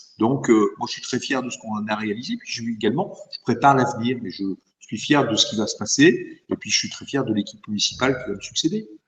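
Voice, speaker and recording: A man talks with an ordinary speaking voice at a medium pitch. He moves at a fairly quick pace with ordinary pitch variation. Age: 60s. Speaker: mayor. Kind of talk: interview.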